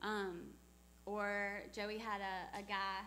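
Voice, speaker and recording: Audible room echo around a woman's voice of medium pitch. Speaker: missionary speaker. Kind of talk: church talk with Q&A.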